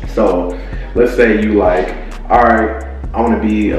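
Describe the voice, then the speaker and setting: A man talks with audible room echo and faint music in the background. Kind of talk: casual vlog chat. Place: home room.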